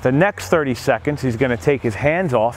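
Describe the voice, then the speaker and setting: Recorded dry with no echo but with light background noise, a man talks at a moderate pace. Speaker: gym coach. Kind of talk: tutorial. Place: gym. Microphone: lapel.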